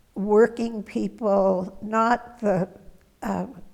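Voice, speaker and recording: Vocal fry with an American accent and fairly even intonation. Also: woman. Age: 80s+. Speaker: retired schoolteacher, interviewee. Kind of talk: oral history interview. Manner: hesitant, many fillers.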